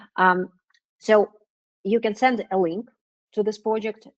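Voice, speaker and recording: Talking fairly slowly with a non-native accent, a woman keeps her intonation fairly even, the sound dry and close with no echo. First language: not English. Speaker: business development manager presenting a webinar. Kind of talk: webinar Q&A. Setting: online webinar. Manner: hesitant, many fillers.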